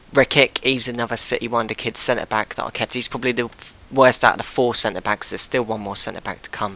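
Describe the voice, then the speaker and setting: Someone speaks at a very fast pace with flat, monotone intonation. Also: man, medium pitch for a man. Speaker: gaming YouTuber. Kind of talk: gameplay commentary.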